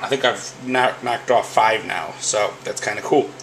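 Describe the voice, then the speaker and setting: Against noticeable background noise, a man talks at medium pitch with fairly even intonation. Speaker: sports autograph collector. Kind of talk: casual video update. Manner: hesitant, many fillers.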